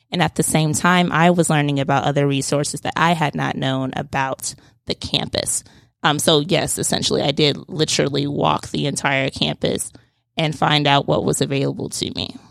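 Speaking at a moderate pace, a woman uses a very deep, low pitch with fairly even intonation and vocal fry. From Atlanta, Georgia. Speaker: student entrepreneur. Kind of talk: interview. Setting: studio.

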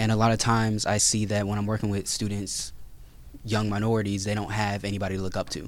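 This is a man speaking. His pitch is fairly low. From Gwinnett County, Georgia. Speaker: personal development coach. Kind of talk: panel discussion.

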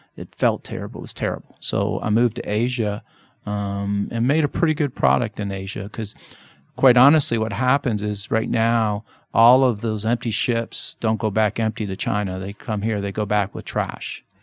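A man with a plain, everyday voice speaks at a fairly low pitch and a moderate pace, his pitch varying in the ordinary way. The recording is very clean with a silent background, and the sound is dry and close with no echo. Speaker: merchandising company president. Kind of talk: radio interview about business. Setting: radio studio.

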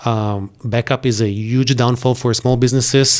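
A man with an Israeli accent speaks at a medium pitch. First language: Hebrew. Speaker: IT company owner. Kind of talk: interview. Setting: studio. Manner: animated.

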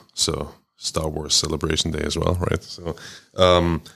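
With a German accent and a very deep, low pitch, a man speaks in monotone, flat intonation at a moderate pace on a very clean recording with a silent background. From Germany. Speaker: trade chamber CEO. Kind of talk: interview. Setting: studio.

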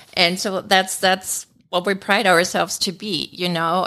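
With a German accent, a woman speaks in a bright, sharp tone with monotone, flat intonation. The recording is very clean, the background silent. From Germany. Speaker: management consultant. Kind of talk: radio interview. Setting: studio.

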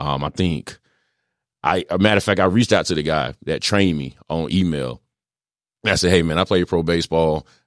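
With an American accent and vocal fry, a man with a very deep, low pitch speaks at a fairly quick pace broken by long, frequent pauses, on a very clean, dry, close recording with no echo and a silent background. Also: ordinary pitch variation. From rural North Carolina. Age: 30s. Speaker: former pro athlete and coach. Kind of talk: radio interview, casual chat. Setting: studio.

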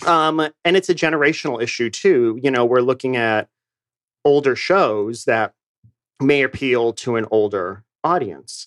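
With an American accent, a man uses an ordinary speaking voice at a medium pitch, talking at a fairly slow pace with lively intonation, the sound dry and close with no echo over a quiet background. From New England, Boston. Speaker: theater company director. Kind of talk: radio interview. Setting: studio.

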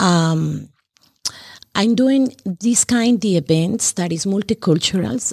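A woman with a Spanish accent speaks at a fairly slow pace, her pitch varying in an ordinary way. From Colombia. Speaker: cultural festival organizer. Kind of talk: casual chat. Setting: studio.

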